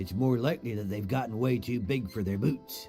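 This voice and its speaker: A man puts on a character voice at a medium pitch. He talks at a fairly quick pace with clear music in the background. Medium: machinima. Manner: sardonic.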